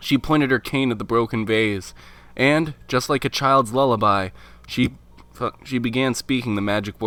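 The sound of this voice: With ordinary pitch variation, someone reads in an unforced reading voice.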